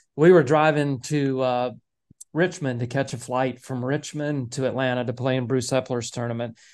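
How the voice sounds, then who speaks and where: In a quiet background, a man with an unremarkable speaking voice talks at a moderate pace, medium pitch and fairly even intonation. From US South, Nashville, Tennessee. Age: 50s. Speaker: college golf coach. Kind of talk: casual interview.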